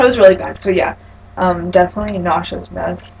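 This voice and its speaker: A woman speaks over noticeable background noise. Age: 20s. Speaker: client in a practice counselling session. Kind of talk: role-played counselling session.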